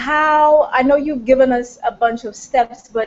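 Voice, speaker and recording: Ordinary pitch variation marks a woman's high-pitched voice. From Jamaica. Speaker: summit host. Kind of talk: interview.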